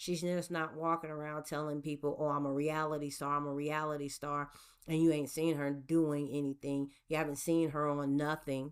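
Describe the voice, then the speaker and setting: On a very clean recording with a silent background, a woman with an American accent speaks at a very deep, low pitch in a monotone, flat intonation. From US Gulf Coast. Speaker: podcast host. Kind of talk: solo podcast monologue. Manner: deliberately slow, drawn out; occasional stutter and repetitions.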